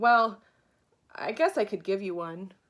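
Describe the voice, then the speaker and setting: In a gruff, put-on character voice of medium pitch, a woman speaks at a moderate pace with lively intonation, on a very clean recording with a silent background. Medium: read story. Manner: gruff, snappish.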